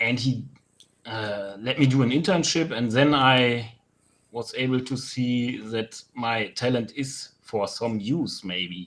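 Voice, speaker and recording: A man's medium-pitched voice with a German accent, a very slow pace and ordinary pitch variation. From Germany, Rhineland. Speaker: sculptor. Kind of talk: interview. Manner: halting.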